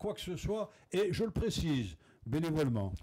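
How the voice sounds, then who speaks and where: High-pitched for a man, this male voice has a dark, mellow tone and lively intonation. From Algeria, Blida. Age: 60s. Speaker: former footballer. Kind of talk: TV panel interview.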